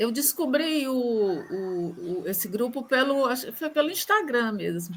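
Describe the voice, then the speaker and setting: A high-pitched woman's voice moves through very wide pitch swings over noticeable background noise. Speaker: book club participant. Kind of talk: casual group discussion.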